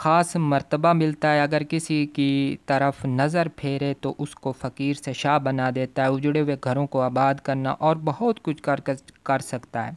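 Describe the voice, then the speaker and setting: At a very slow pace yet with hardly any pauses, a man speaks at a fairly high pitch in a dry, close sound with no echo on a very clean recording with a silent background. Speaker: spiritual practices teacher. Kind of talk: religious lecture. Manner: strained, labored.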